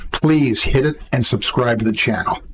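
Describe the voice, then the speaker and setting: At a moderate pace, a man speaks in a medium-pitched voice over noticeable background noise. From Canada. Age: 70s. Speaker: political commentary youtuber. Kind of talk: opinion commentary to camera.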